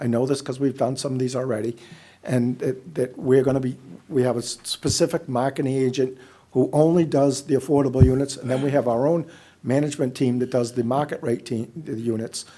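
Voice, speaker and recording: Here is a man with an unremarkable speaking voice, medium in pitch. He speaks at a fairly quick pace with fairly even intonation. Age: 60s. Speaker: housing developer. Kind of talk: public meeting presentation. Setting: public meeting room.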